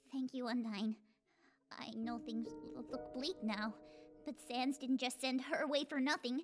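A female-sounding put-on character voice, high in pitch, moves at a moderate pace with long, frequent pauses. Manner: stammering, nervous.

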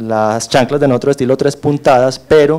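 A man speaks at medium pitch with a slightly mellow tone. His pace is moderate and his pitch varies in an ordinary way.

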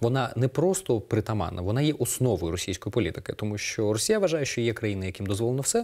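A man at a very fast pace, medium in pitch and dark, mellow in tone, with lively intonation over a quiet background. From eastern Ukraine, Donetsk region (Horlivka); Donetsk region, Ukraine. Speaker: political analyst. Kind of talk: TV interview. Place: studio. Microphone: lapel.

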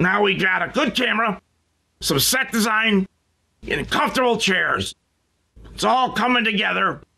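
A man uses a put-on character voice, raised and projected, with a high pitch and very even loudness. He moves at a moderate pace with long, frequent pauses. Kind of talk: comedic parody show hosting.

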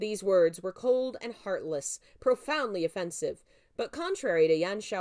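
The text is being read aloud. It comes in a natural voice.

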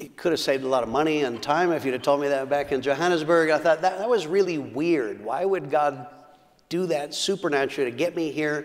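Fairly high in pitch, a man with an American accent talks at a fairly quick pace with ordinary pitch variation. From United States. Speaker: pastor. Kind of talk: sermon. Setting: church. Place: church. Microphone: lapel.

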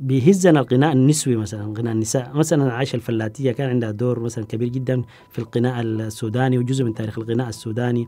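A man talks at a fairly quick pace with hardly any pauses. His intonation stays fairly even. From Sudan. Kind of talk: interview. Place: studio. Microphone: lapel.

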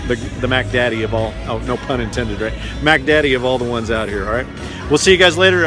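A man talks at a very fast pace over music in the background. The sound is dry, with no echo. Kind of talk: casual vlog chat. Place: stadium. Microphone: headset.

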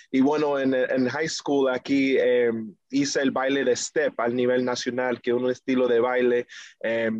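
At a fairly slow pace, a man with an American accent and medium pitch speaks over a quiet background. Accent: marked American English accent in Spanish. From New York, US, Dominican family. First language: English (speaking Spanish). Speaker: reggaeton singer; guest. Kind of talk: interview. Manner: halting, many fillers. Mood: friendly, smiling. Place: home room. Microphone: video call.

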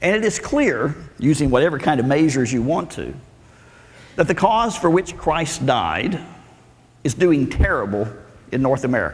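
A man with a Southern US accent speaks at a fairly high pitch and a moderate pace, with lively intonation. He leaves long, frequent pauses. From Arkansas, US South. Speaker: preacher and Bible professor. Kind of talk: sermon. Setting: church with audience. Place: church. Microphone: lapel.

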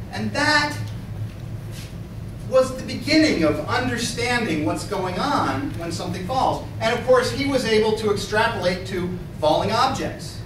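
Amid noticeable background noise and audible room echo, a man speaks with a high pitch. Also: moderate pace. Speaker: lecturer. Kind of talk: lecture. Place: classroom. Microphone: camera far.

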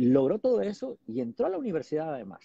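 This is a man speaking. His pitch is fairly high. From Mexico, Durango. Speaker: TV journalist. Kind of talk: casual livestream chat. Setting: airport. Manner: hesitant, many fillers.

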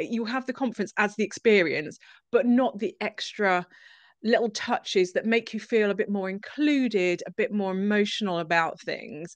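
A woman's fairly high voice at a moderate pace, with ordinary pitch variation, a quiet background and a dry sound with no echo. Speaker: marketing agency co-founder. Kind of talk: live stream interview. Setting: video call. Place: home room. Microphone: studio mic.

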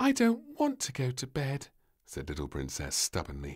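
The clip is plain reading aloud.

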